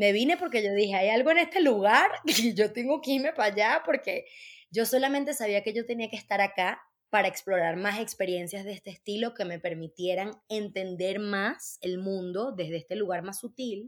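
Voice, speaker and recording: A woman speaks at a moderate pace with lively intonation on a very clean recording with a silent background. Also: medium pitch for a woman. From Venezuela. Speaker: entrepreneur. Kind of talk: casual chat.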